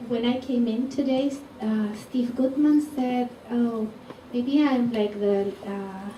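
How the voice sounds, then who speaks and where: Amid noticeable background noise and audible room echo, a woman speaks very slowly at a high pitch with fairly even intonation. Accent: Spanish. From Chile. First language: Spanish. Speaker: psychologist and lecturer. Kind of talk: lecture. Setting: stage with audience.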